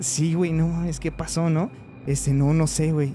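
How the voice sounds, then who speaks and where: Over music in the background, a man speaks at a moderate pace in a monotone, flat intonation. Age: 20s. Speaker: veterinarian telling paranormal stories. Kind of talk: personal storytelling in casual chat. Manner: hesitant, many fillers.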